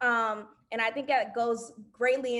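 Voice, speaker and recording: A woman with a slight Southern US accent speaks at a fairly high pitch with fairly even intonation. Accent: slight Southern twang. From US South. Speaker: alumna panelist. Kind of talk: panel discussion.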